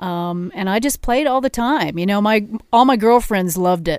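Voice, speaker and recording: An ordinary speaking voice: a woman with a General American accent at a moderate pace, her intonation lively. The recording is very clean, with a silent background. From Colorado, Denver area (Arvada). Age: 50s. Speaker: drummer and singer. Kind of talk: casual interview. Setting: studio.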